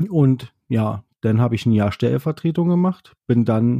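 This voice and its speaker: A man's medium-pitched voice with a dark, mellow tone at a fairly slow pace, on a very clean recording with a silent background. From Berlin, Germany. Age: 30s. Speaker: podcast host, train driver trainee. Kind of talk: casual monologue. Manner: hesitant, many fillers.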